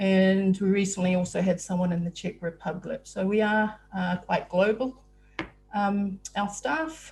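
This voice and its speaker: A woman with a New Zealand accent, medium in pitch, somewhat breathy, at a fairly slow pace. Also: ordinary pitch variation. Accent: New Zealand (Kiwi). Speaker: software support staff, webinar host. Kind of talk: webinar presentation. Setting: video call (Zoom webinar). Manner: hesitant, many filler words.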